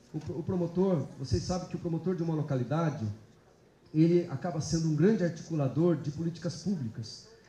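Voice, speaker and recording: Over noticeable background noise and audible room echo, a man talks at a fairly quick pace in a fairly high pitch with ordinary pitch variation. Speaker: public prosecutor giving a talk. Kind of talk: lecture. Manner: halting, many fillers.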